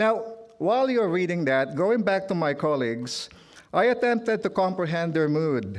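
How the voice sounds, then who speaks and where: With a Filipino accent, a man speaks at a moderate pace in a high pitch, making very wide pitch swings at very even loudness amid audible room echo. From Philippines. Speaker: trade union leader. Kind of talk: speech. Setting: stage with audience. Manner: formal.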